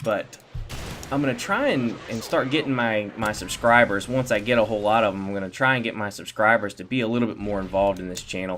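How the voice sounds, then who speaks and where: This man talks at a very fast pace, with a medium pitch and fairly even intonation. Noticeable background noise runs under his voice. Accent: Southern US. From Virginia, Norfolk/Virginia Beach area. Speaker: gaming commentator. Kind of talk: gameplay commentary. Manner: halting, many fillers and repeats.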